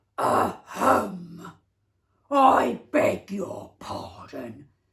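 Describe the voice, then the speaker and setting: A growling, put-on character voice at a middle pitch. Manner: pompous, mock-polite.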